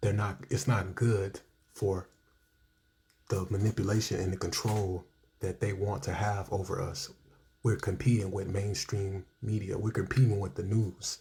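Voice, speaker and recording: Quiet and somewhat breathy, a man speaks at a moderate pace with a fairly low pitch, a dark, mellow tone and fairly even intonation. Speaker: reaction video creator. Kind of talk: reaction commentary. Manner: quiet speaker.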